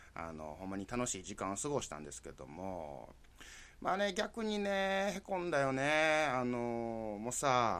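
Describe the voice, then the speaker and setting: A man speaks with a Kansai accent at a medium pitch. His pitch swings very widely, at a moderate pace. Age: 40s. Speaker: podcast host. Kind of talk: casual solo monologue.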